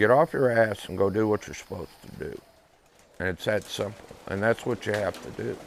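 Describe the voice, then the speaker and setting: Delivered at a fairly quick pace with ordinary pitch variation, this is a plain, everyday voice with an American accent. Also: man, fairly low pitch for a man, big swings in loudness. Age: 60s. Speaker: pigeon race loft operator. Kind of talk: interview testimony.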